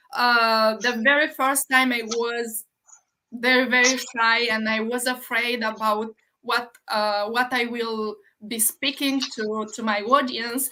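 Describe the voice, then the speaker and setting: A woman with a Romanian accent speaks at a very slow pace in a fairly high pitch. Her intonation is monotone and flat, her tone bright and sharp, on a very clean recording with a silent background. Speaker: livestream host, online business owner. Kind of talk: casual interview on a livestream. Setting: live video stream. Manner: halting.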